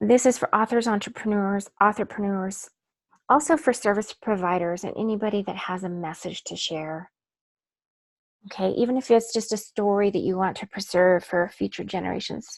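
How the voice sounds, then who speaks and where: A woman speaks at a moderate pace with a medium pitch. She has an unremarkable speaking voice with ordinary pitch variation. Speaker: author and book coach. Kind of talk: webinar workshop presentation. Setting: online webinar.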